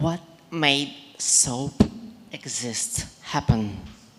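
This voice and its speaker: Speaking very slowly with a non-native accent, a woman uses a very deep, low pitch and lively intonation. Noticeable background noise runs behind her. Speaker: audience member. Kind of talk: audience question.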